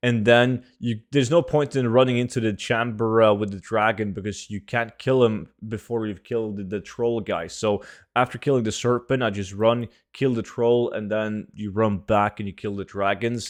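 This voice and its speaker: Against a quiet background, a man speaks with a Norwegian accent at medium pitch. His pace is moderate and his intonation fairly even. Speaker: gaming YouTuber. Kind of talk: video game tutorial. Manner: casual, filler-heavy.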